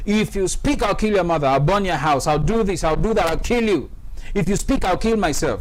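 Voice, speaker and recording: A man speaks loudly at a fairly quick pace, his voice high-pitched and animated. The room echo is audible. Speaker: webinar host and anti-abuse campaigner. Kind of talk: testimony. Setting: studio.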